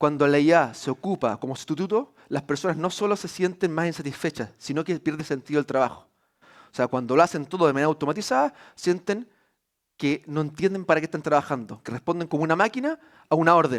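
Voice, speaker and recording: Very fast, lively-intoned man with a fairly high pitch, on a very clean recording with a silent background. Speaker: university executive. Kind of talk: conference talk. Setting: stage with audience. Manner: hesitant fillers.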